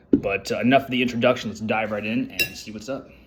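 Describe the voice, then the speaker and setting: A man's medium-pitched voice at a fairly quick pace over noticeable background noise. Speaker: food reviewer. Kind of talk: casual product review vlog. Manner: fast.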